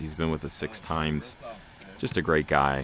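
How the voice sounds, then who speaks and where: A soft-spoken man with a very deep, low voice talks at a fairly quick pace. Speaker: off-road channel host. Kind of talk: vlog narration. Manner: calm.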